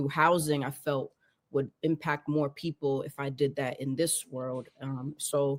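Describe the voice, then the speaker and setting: Speaking at a moderate pace in a Boston accent, a woman with a very deep, low pitch has monotone, flat intonation in a dry, close sound with no echo. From Boston, Cape Verdean family. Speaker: advocate and business partner. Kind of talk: podcast interview.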